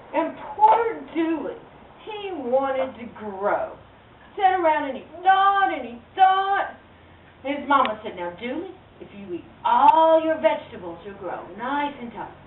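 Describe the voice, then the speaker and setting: Amid noticeable background noise and audible room echo, a woman with a high pitch speaks at a fairly slow pace with long, frequent pauses, very wide pitch swings and big swings in loudness. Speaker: storyteller. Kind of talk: live storytelling to children. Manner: animated.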